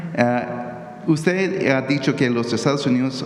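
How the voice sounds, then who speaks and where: There is audible room echo and noticeable background noise as the speech moves at a very slow pace. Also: man. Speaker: journalist. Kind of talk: press conference question. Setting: press conference room. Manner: halting.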